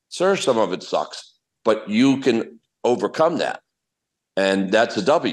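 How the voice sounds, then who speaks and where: A man with an American accent talks at medium pitch with very wide pitch swings. Vocal fry runs through his voice over a quiet background. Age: 60s. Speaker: professional golfer. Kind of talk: interview answer.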